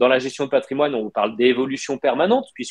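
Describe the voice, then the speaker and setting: Over a quiet background, a man speaks with ordinary pitch variation. The sound is dry, with no echo. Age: 30s. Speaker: wealth management consultant; interview guest. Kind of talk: live interview. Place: home room. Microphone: video call.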